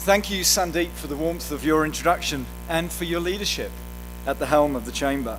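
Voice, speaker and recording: A man with a New Zealand accent at a fairly quick pace, with audible room echo and music in the background. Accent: New Zealand accent, noticeable. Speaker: airline executive. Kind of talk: keynote speech. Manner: formal.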